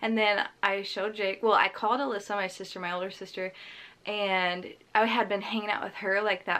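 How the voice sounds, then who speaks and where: At a moderate pace, a woman speaks with medium pitch and fairly even intonation on a very clean recording with a silent background. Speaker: lifestyle vlogger. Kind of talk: casual chat.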